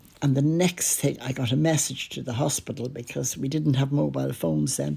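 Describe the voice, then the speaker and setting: Vocal fry runs through this fairly quick delivery, which has very wide pitch swings. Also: woman, very deep, low pitch for a woman. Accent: Irish. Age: 80s+. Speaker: podcaster. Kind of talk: personal storytelling.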